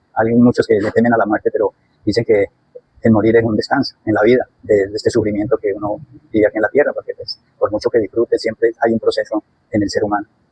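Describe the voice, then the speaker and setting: The sound is close and dry, with no echo. A man delivers his words at a very fast pace. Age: 60s. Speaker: interviewee. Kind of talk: interview.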